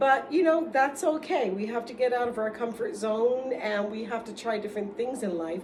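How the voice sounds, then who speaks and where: A woman with an American accent, animated in tone with lively intonation at a moderate pace, amid audible room echo and noticeable background noise. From New York City, the Bronx. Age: 60s. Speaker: vlogger. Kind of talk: casual monologue.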